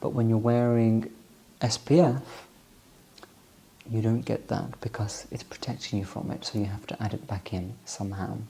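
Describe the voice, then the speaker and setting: Soft-spoken and calm with a soothing tone, this man talks at a fairly low pitch in a dark, mellow voice with fairly even intonation. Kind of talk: ASMR soft-spoken product walkthrough. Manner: soft-spoken, calm, soothing.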